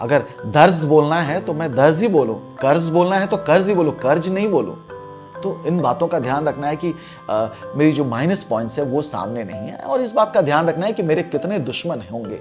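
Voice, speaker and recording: Music plays in the background as a man speaks at a moderate pace. His pitch is fairly high and his intonation lively. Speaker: radio jockey and anchor. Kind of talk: casual talk to camera.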